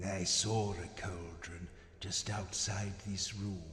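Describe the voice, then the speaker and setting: A man's put-on character voice, fairly low and monotone, at a very slow pace, with clear echo and clear background noise. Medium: video game. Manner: casual, hesitant, scheming.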